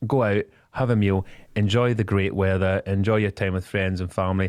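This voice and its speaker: A man with a Scottish accent talks at a moderate pace with a fairly low pitch. The recording is very clean and dry, with a silent background and no echo. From Scotland. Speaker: business spokesperson. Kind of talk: radio interview. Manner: animated; halting.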